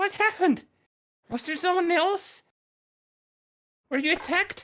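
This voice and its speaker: This is a put-on character voice with an extremely high pitch. It moves at a moderate pace. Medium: actual play. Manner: caring, scolding.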